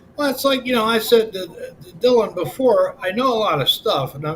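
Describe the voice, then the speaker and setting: Noticeable background noise fills the audio. The voice carries an American accent. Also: man. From Pennsylvania, US. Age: 60s. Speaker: livestreamer. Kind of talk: casual chat. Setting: live stream. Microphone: built-in webcam.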